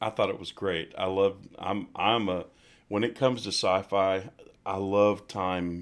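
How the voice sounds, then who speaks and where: Over a silent background on a very clean recording, a man with a fairly low pitch talks at a fairly slow pace with fairly even intonation. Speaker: musician and singer. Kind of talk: casual chat. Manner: halting, many fillers.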